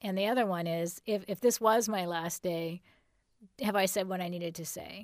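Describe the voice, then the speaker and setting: In a very clean recording with a silent background, a woman with an American accent speaks in an unremarkable speaking voice at a medium pitch, with fairly even intonation and a moderate pace. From Southern California. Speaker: screenwriter and TV producer. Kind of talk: interview. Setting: studio.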